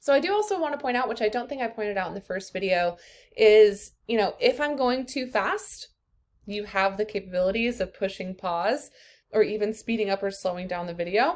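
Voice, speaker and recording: A woman with an American accent uses a normal speaking voice, fairly high in pitch, with ordinary pitch variation at a fairly quick pace on a very clean recording with a silent background. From US Midwest, rural Iowa. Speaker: college instructor. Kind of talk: course introduction video. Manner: casual, many fillers.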